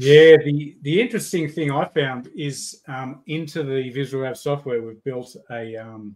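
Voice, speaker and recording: A man with an Australian accent talks at a fairly slow pace in a fairly high voice, with ordinary pitch variation and big swings in loudness. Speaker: software developer and rod builder. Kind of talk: casual livestream chat. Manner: halting, repeats words.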